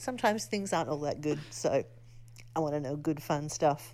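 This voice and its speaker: At a fairly quick pace, a woman with an Australian accent speaks in a very deep, low pitch. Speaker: listener leaving a voice message. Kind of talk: voice message.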